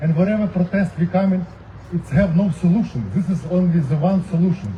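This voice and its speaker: The speaker has a non-native accent. Noticeable background noise is present. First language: not English. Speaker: protest speaker. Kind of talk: rally speech.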